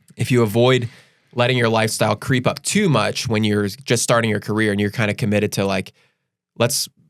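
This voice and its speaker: Ordinary pitch variation and a fairly quick pace, with an American accent. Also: man. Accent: Delco accent, usually reined in. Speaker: financial advisor podcast host. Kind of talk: casual chat. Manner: fast; stammering with repeated words.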